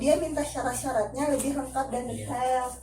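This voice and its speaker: Over noticeable background noise, a woman speaks at a moderate pace with a high voice. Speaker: family support program facilitator. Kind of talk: group session facilitation.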